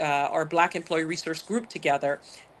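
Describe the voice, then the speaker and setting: In a Barbadian accent, a woman with a fairly low pitch speaks with fairly even intonation against a quiet background. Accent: Barbadian (Bajan), lasting. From Barbados. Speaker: corporate executive. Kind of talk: interview.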